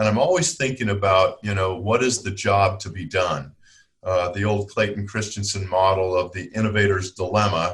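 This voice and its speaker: Against a quiet background, a man with a normal speaking voice talks at a fairly low pitch with ordinary pitch variation. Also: moderate pace. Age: 60s. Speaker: product development consultant and teacher. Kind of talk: podcast interview.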